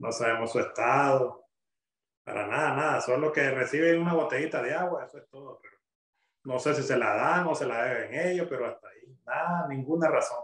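Over a quiet background with audible room echo, a man speaks at a fairly quick pace with ordinary pitch variation and big swings in loudness. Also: fairly high pitch for a man. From Nicaragua. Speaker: father of jailed student, denied entry. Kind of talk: recorded testimony interview. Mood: worried, somber. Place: home room. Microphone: video call.

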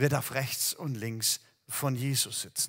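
A man's very slow speech over a quiet background. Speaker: preacher. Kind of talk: sermon. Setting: empty hall, recorded video. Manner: warm, direct address to the listener. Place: church. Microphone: headset.

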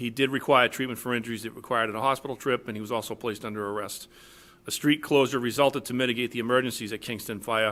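A man at medium pitch, very fast pace and fairly even intonation. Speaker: police chief. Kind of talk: formal award presentation at public meeting. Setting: town board meeting with full audience.

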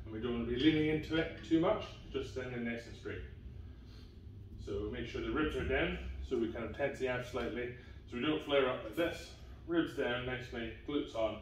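A man talks at a fairly quick pace. Audible room echo and light background noise are present. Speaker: fitness coach. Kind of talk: tutorial. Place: gym.

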